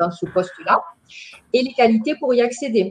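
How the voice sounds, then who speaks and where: A woman with a strong Marseille accent talks at a moderate pace with lively intonation. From southern France, Bouches-du-Rhône. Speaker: trainer, dental centre manager. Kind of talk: webinar training presentation. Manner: hesitant, many fillers.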